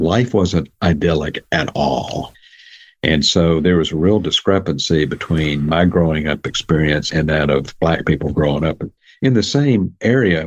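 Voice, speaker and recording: With a Southern US accent, a man speaks in a very deep, low pitch with ordinary pitch variation. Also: fairly slow pace. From US South, Jackson, Mississippi. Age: 70s. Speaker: psychologist and author. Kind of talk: interview.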